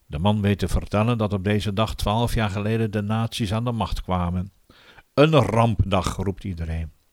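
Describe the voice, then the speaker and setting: In a very clean recording with a silent background, a man with an ordinary speaking voice and a fairly low pitch talks at a moderate pace with ordinary pitch variation. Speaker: audiobook narrator. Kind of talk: literary audiobook reading, diary-style first-person narration of wartime forced labour. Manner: earnest, subdued and weary, with flashes of bitter anger.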